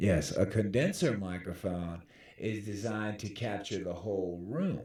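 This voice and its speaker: Speaking at a fairly slow pace, a man with a fairly low pitch and ordinary pitch variation is heard with audible room echo. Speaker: tech tutorial youtuber. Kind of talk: tutorial. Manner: casual, with false starts; loud. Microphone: dynamic mic close to mouth.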